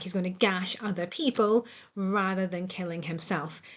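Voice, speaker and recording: Speaking with a Northern Irish accent, a woman has a medium pitch. Her pace is moderate. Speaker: English literature teacher. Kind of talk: lecture. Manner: casual with filler words.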